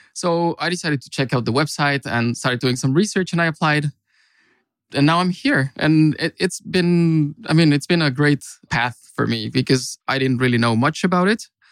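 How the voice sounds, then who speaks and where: A man with a Mexican accent, fairly high pitch and ordinary pitch variation at a moderate pace, in a dry, close sound with no echo and a very clean recording over a silent background. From Mexico. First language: Spanish. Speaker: consultant. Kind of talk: casual chat.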